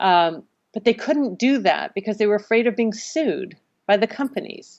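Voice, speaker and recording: Fairly high in pitch, a woman speaks at a moderate pace with ordinary pitch variation in an unremarkable speaking voice. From US Northeast, Connecticut. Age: 60s. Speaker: marine biologist and salmon farm activist. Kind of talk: podcast interview.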